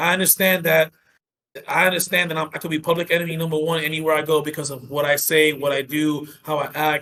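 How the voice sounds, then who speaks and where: In an American accent, the speaker goes at a very fast pace with a bright, sharp tone. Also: man. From New York City, Dominican family. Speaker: professional wrestler and military veteran. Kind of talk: casual chat; in-character wrestling promo talk on podcast. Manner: boastful, brash.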